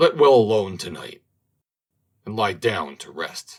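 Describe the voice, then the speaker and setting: A man puts on a raspy, growling character voice, pitched fairly low and delivered at a fairly slow pace. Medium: read story. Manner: growling, archaic speech.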